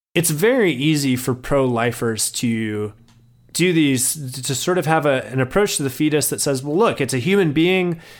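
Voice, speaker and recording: This man has a plain, everyday voice, pitched fairly high, with ordinary pitch variation at a moderate pace. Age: 30s. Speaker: writer and ethics doctoral student. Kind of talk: interview.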